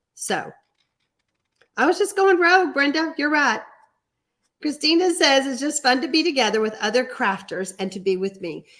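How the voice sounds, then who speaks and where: Very wide pitch swings in an American accent at a moderate pace, with long, frequent pauses. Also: woman, high pitch for a woman. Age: 60s. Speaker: card-making instructor. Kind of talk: live stream tutorial with chat reading. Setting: home studio, live stream. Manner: casual, chatty.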